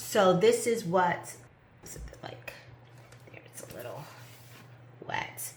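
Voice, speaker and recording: Very slow delivery with long, frequent pauses, very wide pitch swings and big swings in loudness, over noticeable background noise. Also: woman, medium pitch for a woman. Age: 50s. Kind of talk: casual talk to camera.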